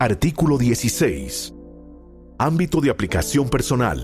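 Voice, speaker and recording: Over music in the background, a man at a medium pitch speaks at a fairly slow pace with very wide pitch swings. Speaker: announcer. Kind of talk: institutional reading of legal text.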